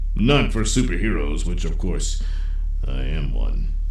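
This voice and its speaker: A man does a put-on character voice at a fairly slow pace, with noticeable background noise behind him. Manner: bossy, irritable, shouting.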